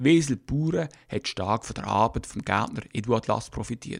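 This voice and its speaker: On a very clean recording with a silent background, a man speaks at a fairly slow pace with ordinary pitch variation. His is an unremarkable speaking voice. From Switzerland, Basel. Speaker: podcast host. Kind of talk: scripted narration.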